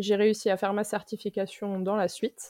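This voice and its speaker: On a very clean recording with a silent background and a dry, close sound with no echo, a woman speaks at a moderate pace and medium pitch in a dark, mellow tone. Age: 30s. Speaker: sophrologist and nurse. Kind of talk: casual interview.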